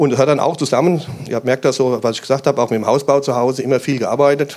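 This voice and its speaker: A man talks at a medium pitch. He has an unremarkable speaking voice. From Hesse, Germany (Main-Kinzig area near Hanau). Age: 50s. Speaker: police officer. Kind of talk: interview at a church event.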